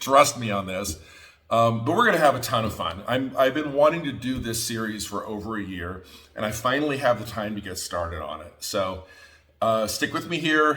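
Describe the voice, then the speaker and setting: Speaking at a medium pitch, a man sounds animated, his bright, sharp tone set in lively intonation. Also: moderate pace, big swings in loudness. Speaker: quilting teacher. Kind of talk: tutorial. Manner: loud.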